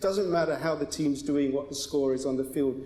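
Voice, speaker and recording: There's noticeable background noise and audible room echo as a man with a fairly high voice speaks with ordinary pitch variation. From Britain. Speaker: advocacy group spokesman. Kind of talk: panel debate. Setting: synagogue stage with audience.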